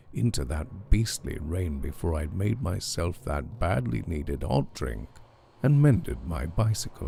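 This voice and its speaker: A calm, dark, mellow tone with vocal fry, very wide pitch swings and a moderate pace. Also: man. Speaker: storyteller. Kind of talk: horror story reading. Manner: calm, relaxing.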